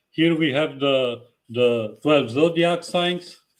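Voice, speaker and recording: A man's fairly high voice at a very slow pace, with ordinary pitch variation. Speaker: tarot reader. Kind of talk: live stream talk. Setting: live video stream. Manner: halting.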